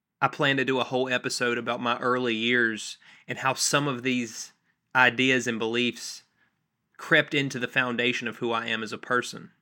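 A bright, sharp tone with monotone, flat intonation and an American accent. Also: man, medium pitch for a man, moderate pace, very clean recording, silent background. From North Carolina (near Charlotte). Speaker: podcast host, former cult member. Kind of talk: solo podcast monologue.

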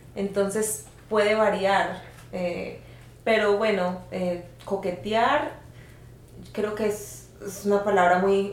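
A woman talks at a very slow pace with fairly even intonation and long, frequent pauses, amid audible room echo. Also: medium pitch for a woman. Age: 30s. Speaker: podcast guest sharing experiences. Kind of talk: casual chat.

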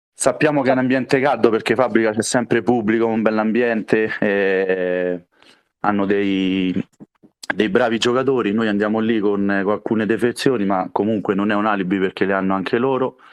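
A man talks at a fairly low pitch. His pace is moderate and his intonation fairly even. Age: 30s. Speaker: futsal player. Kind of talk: interview. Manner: halting.

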